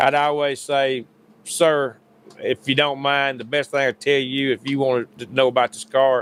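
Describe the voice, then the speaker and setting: Moderate-paced speech from a man, medium in pitch, with monotone, flat intonation. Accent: Southern US. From US South, Paulding County, Georgia. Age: 60s. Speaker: sim racing driver and hubcap business owner. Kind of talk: casual chat.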